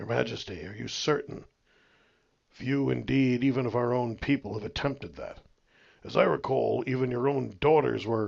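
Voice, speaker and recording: A raspy, put-on character voice moves at a moderate pace with big swings in loudness. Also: man, medium pitch for a man. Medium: read story. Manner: respectful but plainspoken.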